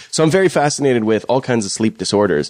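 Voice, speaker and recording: Speaking at a fairly quick pace, a man uses lively intonation in a western Canadian accent. The sound is dry and close, with no echo. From Fort McMurray, Alberta, Canada. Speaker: local guest co-host. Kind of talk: casual chat. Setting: home dining room studio.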